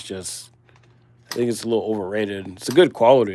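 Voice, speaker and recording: A man with a Midwestern US accent talks at a fairly quick pace, his pitch varying in an ordinary way. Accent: Midwest US. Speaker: livestream host doing ammunition reloading. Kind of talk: casual live stream chat while working.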